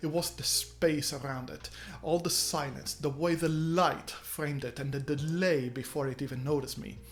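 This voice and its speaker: Background music can be heard. The speech carries a non-native accent. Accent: non-native accent, trouble with double R. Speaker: game design YouTuber. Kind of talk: scripted tutorial. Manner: casual, conversational.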